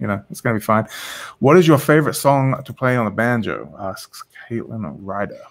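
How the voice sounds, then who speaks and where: A man speaks at a fairly quick pace with vocal fry, lively intonation and big swings in loudness. The background is quiet. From England. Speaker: online show host. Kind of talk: casual interview chat. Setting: video call. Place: home room. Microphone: studio mic.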